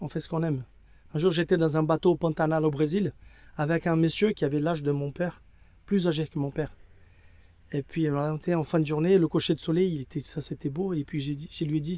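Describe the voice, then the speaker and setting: Using a dark, mellow tone, a man speaks in a fairly high pitch at a fairly quick pace, with fairly even intonation and long, frequent pauses. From Brazil. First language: Portuguese (speaking French). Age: 60s. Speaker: equine veterinarian. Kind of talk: interview. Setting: at an endurance race. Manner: halting.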